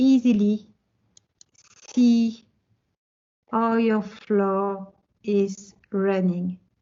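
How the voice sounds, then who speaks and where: Long, frequent pauses from a woman with a French accent, medium-pitched and monotone, with flat intonation. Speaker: tech presenter. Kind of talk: technical presentation with live demo.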